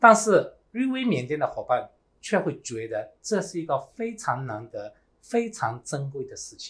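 A man speaks at a fairly slow pace with big swings in loudness. The recording is very clean, the background silent. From Myanmar. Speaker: network marketing team leader. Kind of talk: motivational seminar speech.

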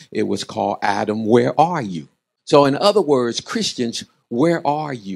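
Fairly slow man's voice with vocal fry against a quiet background. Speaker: preacher. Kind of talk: sermon. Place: church. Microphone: handheld.

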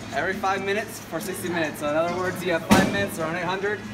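Loud background noise accompanies a man speaking very fast. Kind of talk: casual explanation. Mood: cheerful, smiling. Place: gym. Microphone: phone near.

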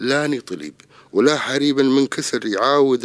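An unremarkable speaking voice moves at a fairly slow pace. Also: man. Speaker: poet. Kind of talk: poetry reading.

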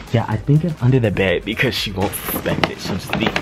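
Clear music plays in the background while a man speaks with ordinary pitch variation. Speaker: vlogger. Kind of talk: casual vlog chat. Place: home room. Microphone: phone near.

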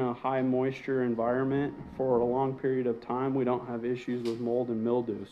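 A man is speaking. His pace is moderate. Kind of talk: casual walkthrough explanation. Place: bathroom.

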